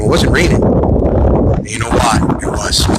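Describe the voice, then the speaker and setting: A man's voice comes through with noticeable noise in the background. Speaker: political livestream host. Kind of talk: live stream chat reading comments. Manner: fast; animated.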